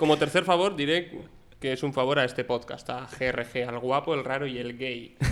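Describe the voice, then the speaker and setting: A man's plain, everyday voice at medium pitch, moderate pace and ordinary pitch variation. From Bilbao, Basque Country. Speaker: journalism student. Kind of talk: casual chat.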